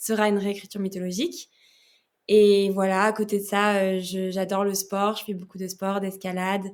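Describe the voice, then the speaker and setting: On a very clean recording with a silent background, a woman speaks at a moderate pace and medium pitch in a monotone, flat intonation. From France. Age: 20s. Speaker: novelist. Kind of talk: podcast interview. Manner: hesitant, many fillers.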